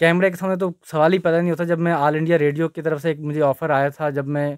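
Against a quiet background and in a dry sound with no echo, a man talks at a moderate pace with a fairly high pitch and fairly even intonation. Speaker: advocate and petitioner; interviewee. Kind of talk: news interview. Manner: hesitant at first, improving. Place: office. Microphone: handheld.

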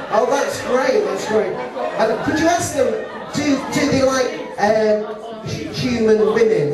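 A man at a fairly slow pace with lively intonation, audible room echo and crowd noise in the background. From UK. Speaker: stage hypnotist. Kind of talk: live hypnosis show. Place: hall.

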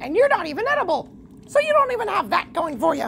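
The voice is extremely high and very fast, with very wide pitch swings. Background noise is clearly audible. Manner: blunt, loud, childish enthusiasm.

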